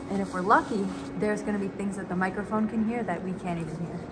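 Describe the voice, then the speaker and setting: Noticeable background noise under a woman's voice and its ordinary pitch variation. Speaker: travel vlogger. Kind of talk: casual vlog chat. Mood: awed, enthusiastic. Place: tunnel cave. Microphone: camera far.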